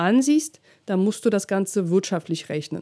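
Her tone is dark and mellow, pitched at a medium level for a woman. She keeps a moderate pace. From Russia. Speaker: DJ and business coach, podcast host. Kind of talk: solo podcast monologue, coaching advice.

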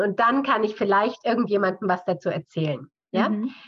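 A woman talks at a fairly quick pace in a normal speaking voice. Her pitch rises and falls in an ordinary way. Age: 50s. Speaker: physiotherapist, author and seminar leader. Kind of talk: interview conversation.

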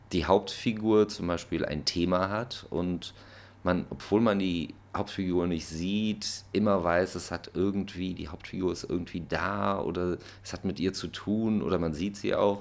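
A man with a very deep, low voice speaks at a fairly slow pace. His intonation stays fairly even. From Germany. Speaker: musician. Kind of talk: casual monologue.

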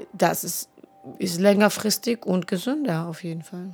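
Noticeable background noise sits behind a woman speaking at a moderate pace with ordinary pitch variation. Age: 30s. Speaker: podcast co-host. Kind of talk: casual chat.

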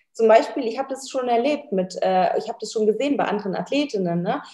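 The woman talks at a fairly quick pace in a fairly high pitch, with ordinary pitch variation and a dark, mellow tone. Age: 20s. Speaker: bikini fitness athlete. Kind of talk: casual chat.

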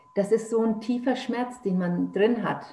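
A woman speaks at a very slow pace with ordinary pitch variation. Audible room echo and noticeable background noise surround her voice. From Germany, Nuremberg (Franconia). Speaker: author. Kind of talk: personal testimony in interview.

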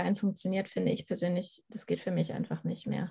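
Against a quiet background, a woman talks at a very fast pace with vocal fry. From northern Germany, Schleswig-Holstein. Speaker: animal communicator. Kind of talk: podcast interview.

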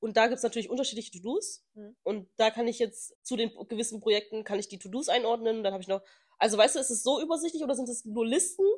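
A woman speaks at a very fast pace with an animated tone and a fairly high pitch. Her intonation is lively, and her loudness swings widely. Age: 30s. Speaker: podcast co-host. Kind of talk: casual chat.

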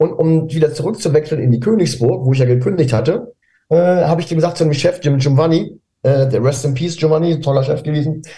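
At a very fast pace, the voice has a dark, mellow tone and ordinary pitch variation. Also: man, fairly high pitch for a man. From northern Germany, near Hamburg (Pinneberg district). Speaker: DJ and music producer. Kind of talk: interview. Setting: video call.

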